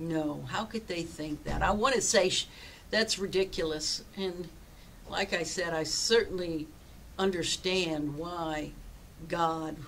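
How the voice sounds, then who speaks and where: Light background noise surrounds a woman speaking very slowly at a fairly low pitch. Her intonation is fairly even, with long, frequent pauses. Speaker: pastor. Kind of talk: sermon. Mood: earnest, personal storytelling. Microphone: webcam.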